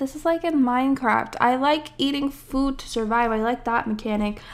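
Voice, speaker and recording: A woman's high-pitched voice at a moderate pace. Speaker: gaming video creator playing an indie game. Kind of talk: casual, with swearing. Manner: casual, chatty, self-deprecating.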